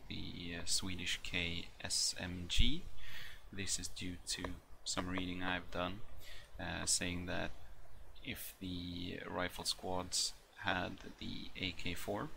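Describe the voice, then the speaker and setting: A man's bright, sharp-toned voice at a very slow pace, with fairly even intonation and audible room echo. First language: not English. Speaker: military history gaming youtuber. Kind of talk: tutorial. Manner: hesitant, many fillers.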